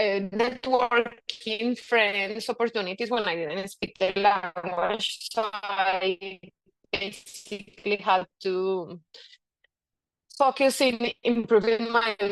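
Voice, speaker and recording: A woman's medium-pitched voice in a Spanish accent, with fairly even intonation, at a very slow pace. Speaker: physician. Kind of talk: presentation. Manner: halting.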